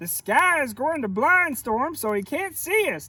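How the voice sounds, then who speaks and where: A man performs a put-on character voice. It is pitched extremely high. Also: moderate pace. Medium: read story. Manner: confident, reassuring.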